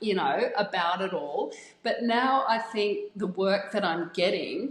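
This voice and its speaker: Very slow speech from a woman, medium in pitch and lively in intonation. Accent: Australian. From Australia. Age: 50s. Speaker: fashion model. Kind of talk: interview answer.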